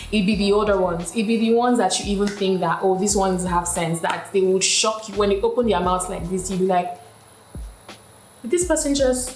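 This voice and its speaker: Over music in the background, a woman speaks at a medium pitch with ordinary pitch variation. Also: fairly quick pace. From Nigeria. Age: 20s. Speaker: media personality, lifestyle YouTuber. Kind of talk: casual talk to camera.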